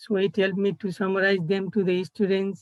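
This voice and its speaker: A woman at a moderate pace, medium pitch, with monotone, flat intonation. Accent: Nepali. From Nepal. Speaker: college student intern. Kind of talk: presentation. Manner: halting.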